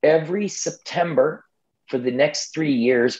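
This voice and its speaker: Speaking in a plain, everyday voice, a man holds a moderate pace and uses lively intonation. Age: 50s. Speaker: ultramarathon runner and expedition adventurer. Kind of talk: podcast interview.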